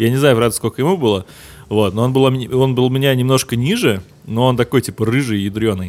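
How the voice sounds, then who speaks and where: A plain, everyday voice from a man, medium in pitch with ordinary pitch variation, at a fairly quick pace on a very clean recording with a silent background. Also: very even loudness. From Russia, St Petersburg. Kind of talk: casual chat.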